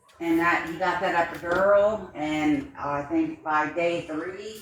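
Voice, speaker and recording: A woman mumbling at a fairly slow pace and fairly low pitch, with fairly even intonation, audible room echo and noticeable background noise. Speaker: livestreamer. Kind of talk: casual chat.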